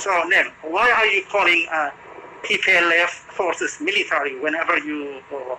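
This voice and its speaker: High-pitched man's voice at a moderate pace, ordinary pitch variation, noticeable background noise behind it. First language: not English. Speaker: journalist. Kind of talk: press briefing question. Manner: halting.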